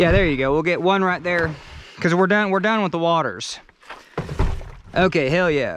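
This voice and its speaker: The speaker leaves long, frequent pauses. Background noise is noticeable throughout. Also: moderate pace. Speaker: video blogger doing yard work. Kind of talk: casual vlog narration while working. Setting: outdoors. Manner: casual, repetitive and halting; loud, yelling.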